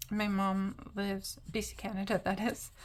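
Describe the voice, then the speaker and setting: With a medium pitch, this woman's voice sounds somewhat breathy. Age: 40s. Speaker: craft YouTuber. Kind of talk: casual chat while colouring. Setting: home apartment, camera. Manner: hesitant, many fillers.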